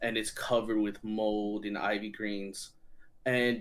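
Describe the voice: The clip is plain reading aloud. Words are read out with no more to it.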